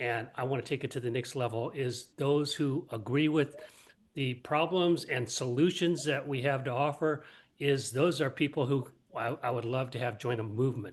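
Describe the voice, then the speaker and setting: A man with a somewhat breathy, medium-pitched voice speaks at a moderate pace with fairly even intonation. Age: 70s. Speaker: lifestyle medicine coach. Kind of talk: self-introduction in group chat.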